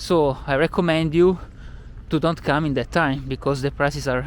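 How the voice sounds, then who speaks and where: With an Italian accent, a man speaks at a moderate pace using fairly even intonation. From Italy, Milan. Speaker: tour guide. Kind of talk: travel vlog. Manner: hesitant, many filler sounds.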